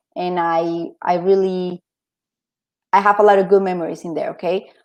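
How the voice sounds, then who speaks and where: A woman speaks at a medium pitch in a dark, mellow tone. Her intonation is monotone and flat, over a quiet background. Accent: Spanish. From Colombia. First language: Spanish. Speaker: interview guest. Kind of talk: casual interview. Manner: halting.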